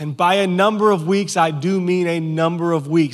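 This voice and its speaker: High pitch from a man, varying in an ordinary way. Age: 30s. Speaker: pastor. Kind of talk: Sunday morning sermon to a live church congregation, conversational teaching style. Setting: church service before an audience. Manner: frequent stammered word repeats and restarts, informal and earnest.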